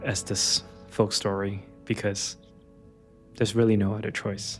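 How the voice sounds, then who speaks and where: A man with an American accent, fairly low-pitched and monotone with flat intonation, at a fairly slow pace over background music. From Los Angeles. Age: 30s. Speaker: app founder. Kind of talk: personal vlog talk to camera.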